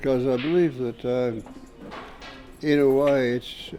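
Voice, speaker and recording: Speaking at a very slow pace, a man is heard with music in the background. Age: 80s+. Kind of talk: interview answer. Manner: thoughtful, hesitant.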